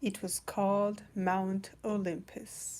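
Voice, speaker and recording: The voice belongs to a woman. She talks at a very slow pace. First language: not English. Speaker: storyteller reading children's books. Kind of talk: casual chat; reading aloud. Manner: hesitant, many fillers.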